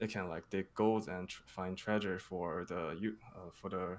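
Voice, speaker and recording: A man with a very deep, low voice talks at a moderate speed, his intonation fairly even. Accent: non-native. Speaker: crypto project marketing manager. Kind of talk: interview Q&A. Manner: halting, many fillers.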